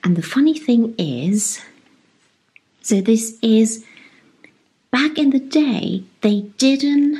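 The voice has a dark, mellow tone and is somewhat breathy. It moves at a very slow pace with lively intonation. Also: woman. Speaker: home cooking vlogger. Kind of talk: casual vlog chat. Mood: warm, cheerful. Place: home room. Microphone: lapel.

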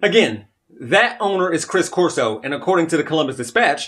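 A man at a very fast pace with lively intonation. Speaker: local commentary vlogger. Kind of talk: commentary. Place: home room.

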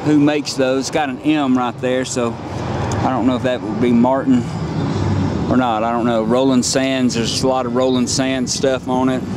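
Speech moves at a moderate pace against noticeable background noise. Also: dry sound with no echo. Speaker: motorcycle dealer salesperson. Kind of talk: product walkaround commentary. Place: street. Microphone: phone near.

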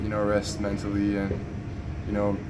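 Loud background noise behind a man's moderately paced speech. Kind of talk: interview answer. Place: hall. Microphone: phone near.

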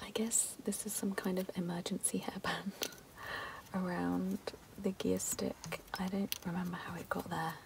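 A woman speaks at a fairly slow pace with a fairly low pitch, vocal fry and little pitch movement.

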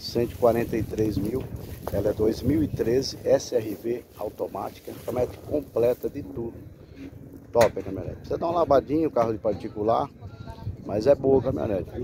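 Over noticeable background noise, a man talks with ordinary pitch variation in a dry sound with no echo. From Brazil. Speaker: car broker selling used vehicles. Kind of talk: street seller pitchman, sales pitch walk-around video. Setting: outdoors at car lot, filming vehicle. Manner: fast, chatty, upbeat patter, hyping the deal, reassuring casual asides. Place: open country. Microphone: phone near.

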